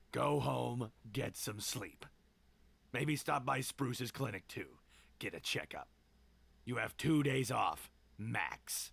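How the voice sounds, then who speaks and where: Using a raspy, put-on character voice at a medium pitch, a man speaks fairly slowly with long, frequent pauses. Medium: game stream. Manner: curt, commanding.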